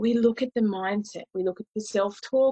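Dry and close with no echo, a woman's slightly mellow voice carries a slightly husky edge, fairly even intonation and a moderate pace.

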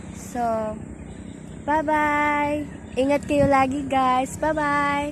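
A woman with a high, monotone voice and flat intonation at a very slow pace, with audible room echo. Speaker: vlogger. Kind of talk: casual vlog. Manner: giggly, laughing often.

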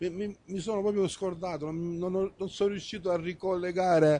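A man's high-pitched voice with a dark, mellow tone and a dry sound with no echo. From Apulia. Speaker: local sports TV host. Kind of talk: sports talk show and results reading. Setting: bar. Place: studio. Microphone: handheld.

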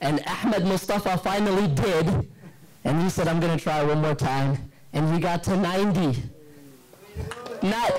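Lively intonation marks a man's high voice for a man, with a slightly mellow tone and a moderate pace.

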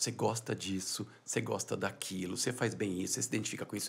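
This man talks at a fairly quick pace. His words come along briskly. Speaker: business founder and CEO; entrepreneur. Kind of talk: podcast interview. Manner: soft-spoken. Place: studio. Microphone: studio mic.

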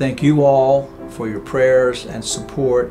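Clear background music behind a man speaking at a moderate pace. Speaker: seminary president. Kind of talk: institutional announcement to camera. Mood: warm, grateful, humble. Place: home room.

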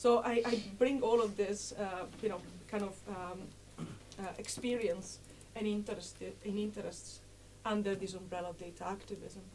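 In an Italian accent, a woman speaks at a moderate pace with long, frequent pauses and big swings in loudness, over noticeable background noise. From Italy. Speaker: political sociologist. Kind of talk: lecture. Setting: seated, lecture room with audience. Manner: halting, many fillers.

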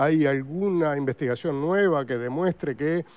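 Here a man talks at a moderate pace and fairly high pitch, with ordinary pitch variation. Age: 60s. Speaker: paleontologist; guest. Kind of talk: TV interview. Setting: TV studio. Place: studio. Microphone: lapel.

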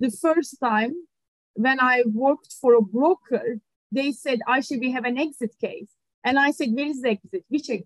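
A woman with a Turkish accent, high-pitched, at a moderate pace with ordinary pitch variation, the sound dry with no echo and the background quiet. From Turkey, Ankara. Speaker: litigation funder. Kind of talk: interview. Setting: video call. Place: office. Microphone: video call.

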